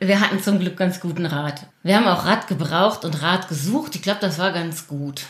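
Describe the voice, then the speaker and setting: Against noticeable background noise, a woman with a fairly low pitch speaks at a moderate pace with ordinary pitch variation. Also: hardly any pauses. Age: 50s. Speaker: primary school teacher. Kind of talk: casual interview conversation.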